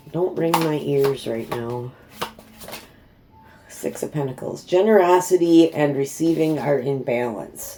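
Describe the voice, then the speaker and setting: Noticeable background noise accompanies talking that moves at a fairly slow pace. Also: woman. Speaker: tarot reader. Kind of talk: tarot reading. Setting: at home. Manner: not soft-spoken.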